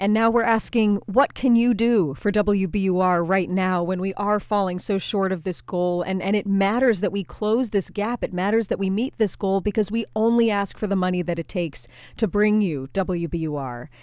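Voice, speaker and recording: In a very clean recording with a silent background, a woman with an unremarkable speaking voice talks at a moderate pace with hardly any pauses, medium pitch and ordinary pitch variation. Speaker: public radio staffer. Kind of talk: fundraising appeal.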